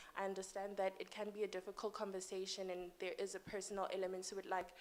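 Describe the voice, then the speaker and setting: A soft-spoken woman talks at a very fast pace with monotone, flat intonation. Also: medium pitch for a woman. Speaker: audience member asking a question. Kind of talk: conference Q&A comment.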